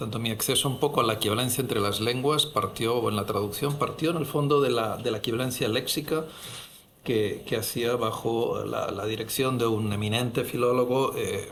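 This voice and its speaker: A man speaks at medium pitch with fairly even intonation. Audible room echo and noticeable background noise surround his voice. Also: moderate pace. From Catalonia, Spain (Barcelona). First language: Catalan (speaking Spanish). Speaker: head of translation program, professor. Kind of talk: panel discussion. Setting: university auditorium.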